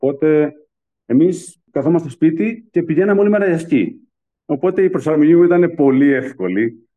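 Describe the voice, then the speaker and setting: Here is an unremarkable speaking voice at a moderate pace. Loudness is very even, and the pitch moves in an ordinary way. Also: man, fairly high pitch for a man. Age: 40s. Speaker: pastry chef. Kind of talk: interview testimony.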